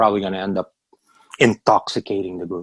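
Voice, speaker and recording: With a Filipino accent, a man speaks in a fairly low pitch at a fairly quick pace. The sound is dry and close, with no echo. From Philippines. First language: Tagalog. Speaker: business owner. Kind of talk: orientation call presentation. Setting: video call. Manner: fast; animated.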